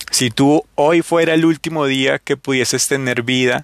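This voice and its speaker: Recorded dry and close with no echo, a man speaks at a medium pitch with fairly even intonation. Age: 30s. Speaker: motivational podcast host. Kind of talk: motivational monologue.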